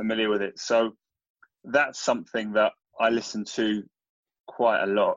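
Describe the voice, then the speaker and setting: In an English accent, a man speaks at a medium pitch and a moderate pace with monotone, flat intonation and long, frequent pauses. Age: 30s. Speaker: entrepreneur. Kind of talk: interview.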